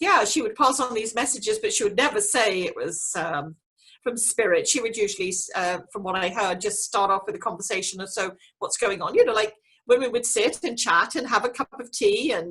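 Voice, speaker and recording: A woman with an English accent talks fairly quickly in a fairly high voice with lively intonation. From England. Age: 60s. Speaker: clairvoyant and medium. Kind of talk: interview.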